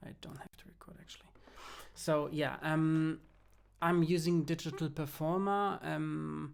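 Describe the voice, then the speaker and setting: Speaking fairly slowly, a man talks with a German accent. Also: quiet background. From Germany. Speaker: music producer and film composer. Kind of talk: tutorial. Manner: halting, many fillers and restarts.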